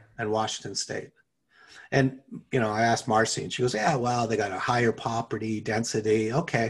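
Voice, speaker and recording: With an ordinary speaking voice, a man talks at a fairly quick pace, medium in pitch and fairly even in intonation. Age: 50s. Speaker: podcast co-host. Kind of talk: casual chat.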